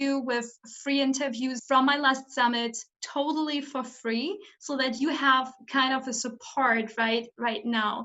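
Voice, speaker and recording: This woman has a high pitch and fairly even intonation, and she speaks at a fairly slow pace. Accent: German. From Germany. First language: German. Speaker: summit host, coach. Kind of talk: interview. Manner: halting.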